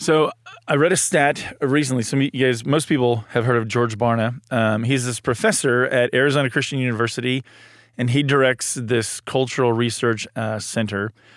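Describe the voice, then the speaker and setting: The man has an unremarkable speaking voice, pitched at a medium level, with fairly even intonation. He keeps a moderate pace in a very clean recording with a silent background. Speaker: church marriage and family director, podcast host. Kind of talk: casual chat. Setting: studio.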